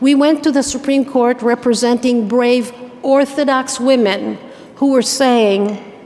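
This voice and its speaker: Over noticeable background noise, a woman with a high pitch speaks at a moderate pace with fairly even intonation. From Israel. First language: Hebrew. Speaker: activist, keynote speaker. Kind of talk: keynote speech. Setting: stage with audience at gala dinner.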